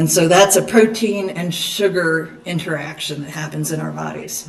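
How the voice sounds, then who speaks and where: At a fairly slow pace, a woman speaks amid noticeable background noise and audible room echo. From Eastern Kentucky. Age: 50s. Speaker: dietitian. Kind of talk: lecture.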